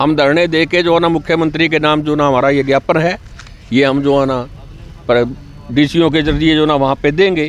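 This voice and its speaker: Noticeable background noise accompanies a man with a fairly high pitch speaking at a moderate pace. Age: 60s. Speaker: retired employees' union member. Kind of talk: street interview at protest.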